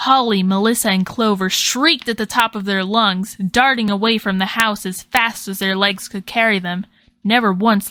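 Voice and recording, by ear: Fairly even intonation, read aloud in a natural voice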